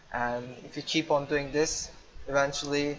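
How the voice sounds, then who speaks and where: A man's fairly high-pitched voice in a Turkish accent, with noticeable background noise. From Turkey. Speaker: gamer. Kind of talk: tutorial. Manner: improvised, with hesitations.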